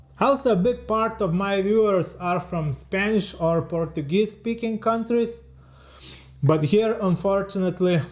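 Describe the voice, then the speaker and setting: This is a man speaking. He has an Eastern European accent. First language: Lithuanian. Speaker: leathercraft artisan and YouTuber. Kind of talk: scripted narration. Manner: reading from a teleprompter.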